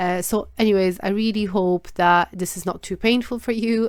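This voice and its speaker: A woman with a non-native accent on a very clean recording with a silent background. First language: not English. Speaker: trading analysis youtuber. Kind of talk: market analysis tutorial. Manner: halting, searching for words; many filler words.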